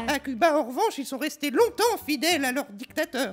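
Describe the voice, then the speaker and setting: A man speaks in a cartoonish character voice, pitched extremely high and moving at a fairly quick pace. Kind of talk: comedy puppet dialogue full of puns. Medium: puppet.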